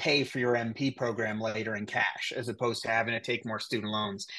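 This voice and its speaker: A man talks at a medium pitch with a slight Canadian accent. The background is quiet. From Cape Breton Island, Nova Scotia, Canada; Nova Scotia, Canada. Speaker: nurse anesthetist and educator; educator. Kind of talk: interview. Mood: calm, confident, informative. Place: home room. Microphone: video call.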